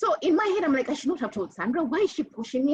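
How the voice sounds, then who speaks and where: This woman speaks at a very fast pace, her pitch swinging very widely. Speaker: panelist. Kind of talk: panel discussion.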